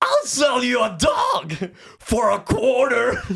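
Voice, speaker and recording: At a fairly slow pace, a man uses an extremely high-pitched, put-on character voice. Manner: comedic impression.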